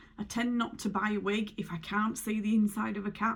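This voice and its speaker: The speaker uses vocal fry at a moderate pace. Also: woman. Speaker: beauty vlogger. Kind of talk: casual tutorial.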